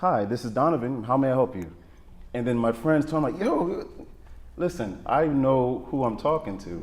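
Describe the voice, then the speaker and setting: A man talks at moderate speed as noticeable noise runs underneath. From Jamaica. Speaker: talk show panelist. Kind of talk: panel discussion.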